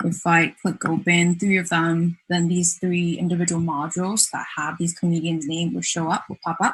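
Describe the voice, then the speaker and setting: Delivery moves at a moderate pace. A somewhat breathy quality runs through the voice. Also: woman. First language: not English. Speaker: design student presenting thesis project. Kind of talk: project presentation with demo. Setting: virtual festival, online stream. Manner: hesitant, many fillers.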